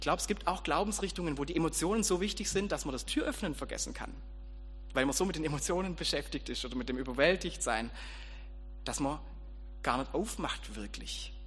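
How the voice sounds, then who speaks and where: A man with a warm tone at a fairly quick pace, broken by long, frequent pauses. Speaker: preacher and school teacher. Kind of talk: sermon. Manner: informal, conversational, storytelling with light humor; audience-addressing, direct and warm.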